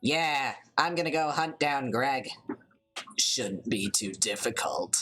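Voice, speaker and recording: In a put-on character voice at a low-to-middle pitch, the speaker moves at a fairly slow pace with long, frequent pauses. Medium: game stream. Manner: sarcastic, flippant.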